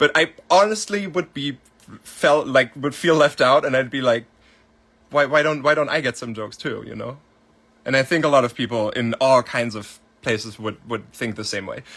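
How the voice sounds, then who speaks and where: In a German accent, a man speaks at a moderate pace and medium pitch, with ordinary pitch variation and big swings in loudness. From Germany. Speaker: music producer. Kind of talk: livestream Q&A. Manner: casual, filler-heavy.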